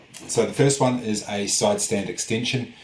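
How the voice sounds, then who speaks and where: A man talks while noticeable noise hums in the background. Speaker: industrial designer and product vlogger. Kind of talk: product vlog. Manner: fast; hesitant, many fillers.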